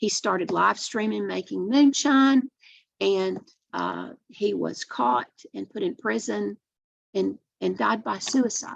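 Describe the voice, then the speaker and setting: A woman in an East Tennessee accent at a very slow pace, in a dry, close sound with no echo. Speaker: addiction treatment program director. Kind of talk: webinar presentation. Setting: online webinar.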